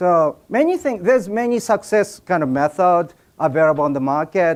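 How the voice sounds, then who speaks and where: With a Japanese accent, a man speaks at a moderate pace in a high pitch with very wide pitch swings. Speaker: business speaker. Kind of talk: seminar speech. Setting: stage with audience. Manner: halting.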